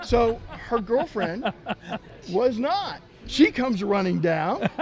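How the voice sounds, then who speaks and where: Music in the background behind a man with an American accent, high-pitched and very slow. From Texas. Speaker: sports team mascot performer. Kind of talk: casual chat.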